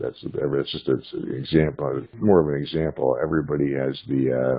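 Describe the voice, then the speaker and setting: At a moderate pace, a man talks with vocal fry in a very deep, low pitch. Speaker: conference participant. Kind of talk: casual chat. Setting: phone call.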